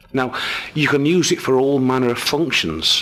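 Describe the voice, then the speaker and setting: A man with a British accent speaks at medium pitch and a moderate pace. Noticeable background noise is present. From England. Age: 60s. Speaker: amateur radio hobbyist. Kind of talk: tutorial. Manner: casual.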